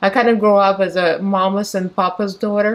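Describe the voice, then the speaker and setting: In a Russian accent, a woman speaks at a moderate pace. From Moldova. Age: 40s. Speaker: beauty vlogger. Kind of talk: casual get-ready-with-me chat. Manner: talkative.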